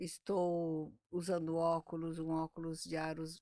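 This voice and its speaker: Speaking at a very slow pace, a woman has a fairly low pitch and a dark, mellow tone. The sound is dry and close, with no echo. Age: 60s. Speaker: speech therapist. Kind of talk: interview.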